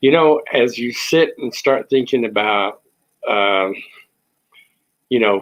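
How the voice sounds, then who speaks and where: The speaker is a man with a medium pitch. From Texas. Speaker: online talk show host. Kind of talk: casual monologue. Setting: at home. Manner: hesitant, many fillers.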